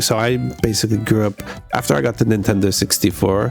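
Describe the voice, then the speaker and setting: Fairly quick speech from a man, fairly low in pitch with ordinary pitch variation, over music in the background. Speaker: game streamer. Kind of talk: casual stream chat. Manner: casual, conversational.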